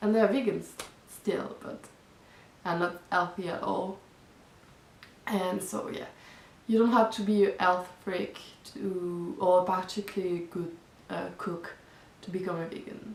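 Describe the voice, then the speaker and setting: Using fairly even intonation, a woman with a non-native accent and a medium pitch speaks at a fairly slow pace with long, frequent pauses. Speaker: vegan vlogger. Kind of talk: casual talk to camera.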